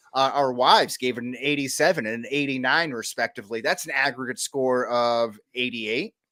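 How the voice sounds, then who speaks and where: A loud voice with a bright, sharp tone moves at a fairly quick pace, its intonation fairly even and hardly any pauses breaking it up. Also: man, medium pitch for a man. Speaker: podcast co-host. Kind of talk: casual chat. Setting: at home.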